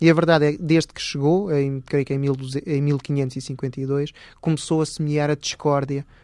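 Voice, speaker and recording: On a very clean recording with a silent background, a man with fairly high pitch speaks fairly slowly in a dark, mellow tone with monotone, flat intonation. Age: 40s. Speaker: historian. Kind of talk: interview. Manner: halting.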